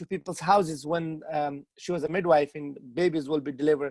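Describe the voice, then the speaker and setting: A man speaks with a Pashto accent. The sound is dry and close, with no echo. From Afghanistan. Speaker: author. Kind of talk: interview. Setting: video call. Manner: halting, many repetitions.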